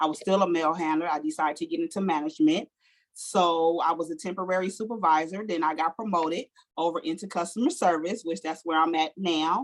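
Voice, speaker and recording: With an American accent, a woman with fairly low pitch speaks at a fairly quick pace in an unremarkable speaking voice. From Los Angeles, South Central. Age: 50s. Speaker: life coach and postal manager. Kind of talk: interview.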